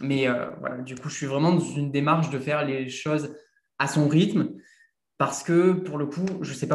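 Somewhat breathy, a man speaks at a fairly slow pace with a fairly high pitch. His intonation is fairly even, and there is audible room echo. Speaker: content creator. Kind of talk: casual interview. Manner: casual, hesitant.

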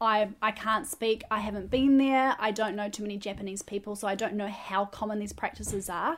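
A woman talks at a fairly quick pace with a New Zealand accent. Her pitch is medium and her intonation fairly even. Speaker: podcast co-host. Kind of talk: casual chat; news reading.

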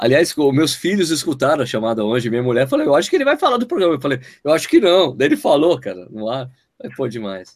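A man races along at a very fast pace, his fairly high pitch moving in lively intonation, on a very clean recording with a silent background. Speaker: running podcast host. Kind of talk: casual chat. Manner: animated.

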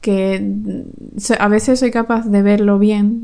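Dark and mellow in tone, a woman speaks at a fairly slow pace and medium pitch in a monotone, flat intonation. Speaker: podcast co-host. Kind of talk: casual chat.

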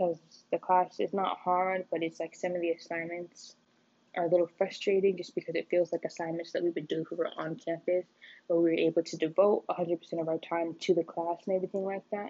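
A woman's fairly low voice, fairly quick, in a monotone, flat delivery. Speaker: college student. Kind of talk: personal audio journal. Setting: bathroom, late at night. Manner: rambling, halting with fillers; quiet, late at night.

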